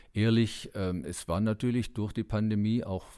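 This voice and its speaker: A man speaks fairly slowly in a dark, mellow, fairly low voice. His intonation stays fairly even. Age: 60s. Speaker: Paralympic cyclist. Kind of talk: interview.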